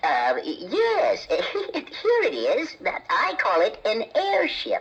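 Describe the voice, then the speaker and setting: A put-on character voice, extremely high in pitch, at a very slow pace. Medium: audio drama. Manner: halting, stammering.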